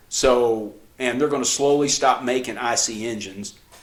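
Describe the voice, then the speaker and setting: A man amid noticeable background noise. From New Mexico. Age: 60s. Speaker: podcast co-host, father giving practical tips. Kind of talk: casual chat. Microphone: cheap camcorder, mics switched.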